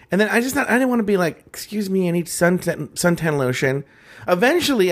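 A man talks at a very fast pace. His pitch is high and swings very widely. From Mexican-American. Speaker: podcast co-host. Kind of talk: casual chat. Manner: smacks lips often.

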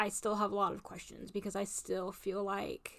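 A woman at medium pitch and moderate pace, with an ordinary speaking voice. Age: 30s. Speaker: podcast co-host. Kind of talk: casual chat.

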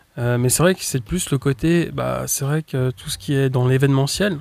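There is noticeable background noise behind a man talking. His pitch is medium and his pace moderate. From Switzerland (French-speaking). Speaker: youtuber, comedy sketch creator. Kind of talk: casual interview chat.

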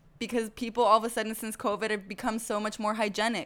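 Fairly quick and fairly high-pitched, a woman's voice comes through. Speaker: podcast host. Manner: chatty, animated.

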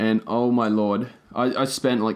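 A fairly low male voice with fairly even intonation. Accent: Australian. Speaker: podcast co-host. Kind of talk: casual chat.

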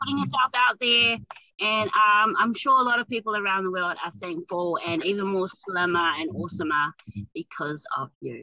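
In a New Zealand accent, the speaker sounds enthusiastic, with a bright, sharp tone, lively intonation and a moderate pace, recorded dry and close with no echo. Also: woman, medium pitch for a woman. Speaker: podcast host. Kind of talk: interview. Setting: in a car.

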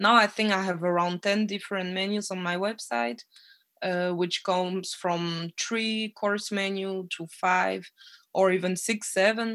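At a fairly slow pace, a woman with a medium pitch speaks with fairly even intonation. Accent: French. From French-speaking Belgium (Namur area). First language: French. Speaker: chef and cafe owner. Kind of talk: casual interview.

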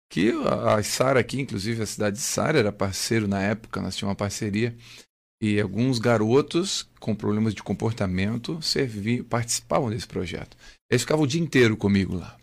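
A man talks at a fairly quick pace and fairly low pitch with ordinary pitch variation, a normal speaking voice. The recording is very clean, with a silent background. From southern Brazil, Santa Catarina (Criciúma). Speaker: pastor and former army sergeant. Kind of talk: radio interview. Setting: radio studio.

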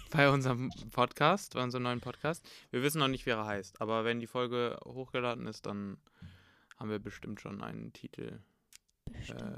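A man with a bright, sharp tone speaks at a moderate pace, using ordinary pitch variation and long, frequent pauses. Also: medium pitch for a man. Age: 20s. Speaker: university student and podcast co-host. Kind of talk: casual chat. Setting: home recording, sitting across from sister.

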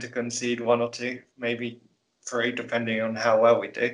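A man speaks with a British accent at a medium pitch. His intonation is monotone and flat, at a moderate pace. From UK. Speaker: guest, Chelsea fan. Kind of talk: casual podcast chat.

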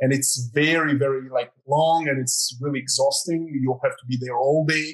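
A somewhat breathy man with a Croatian accent, fairly high in pitch, at a moderate pace. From Croatia, near Zagreb. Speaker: artist. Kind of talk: interview.

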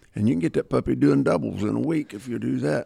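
Very deep and low, a man's dark, mellow voice with vocal fry moves at a fairly quick pace through very wide pitch swings. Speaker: dog trainer. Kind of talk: casual chat.

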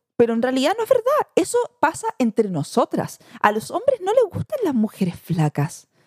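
A woman with a Chilean accent talks at a moderate pace in a dry, close sound with no echo. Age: 30s. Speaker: mother and social media influencer. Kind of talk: podcast interview, casual chat.

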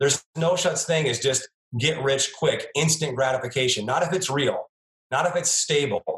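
An animated male voice, fairly high in pitch with ordinary variation, at a moderate pace and very even loudness, the sound dry and close with no echo. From United States. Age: 50s. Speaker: chiropractor turned entrepreneur. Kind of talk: interview.

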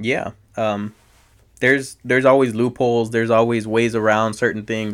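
Recorded very cleanly against a silent background, a man of medium pitch speaks at a moderate pace with monotone, flat intonation. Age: 20s. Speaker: podcast guest. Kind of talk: casual chat.

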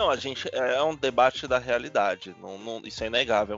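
It is an ordinary speaking voice at a moderate pace with ordinary pitch variation. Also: man. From Salvador, Bahia, Brazil. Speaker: podcast host. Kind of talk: casual chat.

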